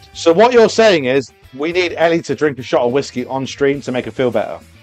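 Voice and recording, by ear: A man's fairly high voice with lively intonation at a fairly quick pace, music playing behind him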